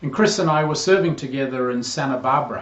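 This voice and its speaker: Amid noticeable background noise, a man with an American accent talks at a fairly quick pace. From New Zealand. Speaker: priest. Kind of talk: video greeting to congregation.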